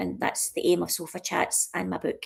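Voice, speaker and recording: A woman with a Scottish accent at a fairly quick pace. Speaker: author and livestream host. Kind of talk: casual live-stream chat. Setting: live stream from a sofa at her mom's. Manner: chatty, with frequent fillers and restarts.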